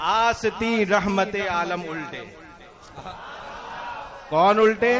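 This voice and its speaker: A man talks in a high pitch with fairly even intonation. Noticeable background noise sits behind him. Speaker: Islamic scholar explaining devotional poetry. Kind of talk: religious lecture explaining verses.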